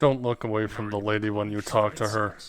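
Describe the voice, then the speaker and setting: A man's put-on character voice, fairly low in pitch, monotone and flat, at a fairly quick pace. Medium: actual play. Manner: gruff.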